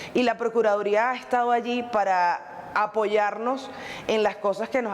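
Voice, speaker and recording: Against noticeable background noise, a woman speaks at a fairly high pitch and moderate pace. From Venezuela. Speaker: Venezuelan migrant. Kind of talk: interview testimony.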